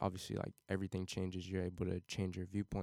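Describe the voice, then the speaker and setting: With an American accent, a man speaks in a fairly low pitch, his dark, mellow tone caught in dry, close sound with no echo. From Cincinnati, Ohio, US Midwest. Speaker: college student and amateur music producer. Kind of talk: casual podcast interview. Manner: clear, unhesitating.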